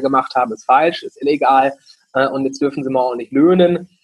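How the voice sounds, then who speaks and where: Here a man speaks in a fairly high voice. His pace is fairly quick. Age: 20s. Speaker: franchise founder. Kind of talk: interview.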